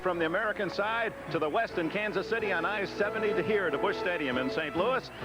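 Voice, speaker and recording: A high-pitched man rattles on at a very fast pace with hardly any pauses. Loudness stays very even, pitch varies in an ordinary way, and background noise is noticeable. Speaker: sportscaster. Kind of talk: broadcast game introduction.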